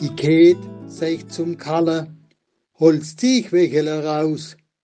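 A man's fairly high voice with an Odenwald accent, dark and mellow in tone, at a very slow pace. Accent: Odenwald Baden dialect. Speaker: local historian. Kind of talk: dialect poetry reading.

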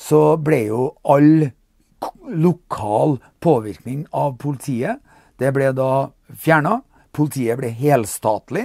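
Against a quiet, dry background with no echo, a man speaks at a very slow pace in a dark, mellow tone, his pitch fairly high with ordinary variation and long, frequent pauses. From Norway. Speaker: political commentator. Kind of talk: monologue commentary. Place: home room.

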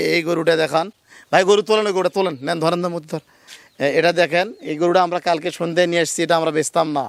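A man speaks with a high pitch and monotone, flat intonation. The sound is dry and close, with no echo. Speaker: dairy farmer and cattle seller, channel host. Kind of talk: casual vlog with customer interview and sales talk.

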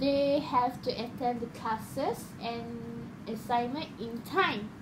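A woman's high-pitched voice at a very slow pace, over noticeable background noise. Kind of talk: casual conversation practice. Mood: relaxed, some laughing. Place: home room. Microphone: phone near.

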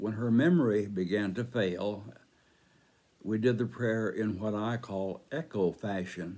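His voice is dark and mellow, and this man speaks at a fairly slow pace with a fairly low pitch. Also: ordinary pitch variation. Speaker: church devotional speaker. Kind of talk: devotional teaching with group prayer. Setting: church online ministry video. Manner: measured, formal, earnest. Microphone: phone near.

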